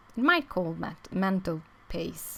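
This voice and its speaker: Very slowly, a woman speaks with a non-native accent at a fairly low pitch. The recording is very clean, with a silent background. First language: not English. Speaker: crafting youtuber. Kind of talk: tutorial. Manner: halting, many fillers.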